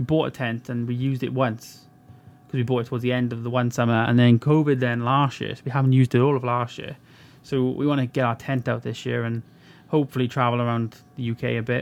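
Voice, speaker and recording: A man with a Welsh accent talks at a very fast pace and medium pitch. His intonation is monotone and flat. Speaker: podcast co-host. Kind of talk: casual chat.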